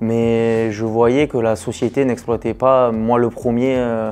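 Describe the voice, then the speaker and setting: A man with a medium-pitched voice speaks very slowly. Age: 20s. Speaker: construction business owner. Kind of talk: testimony. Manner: hesitant, many fillers.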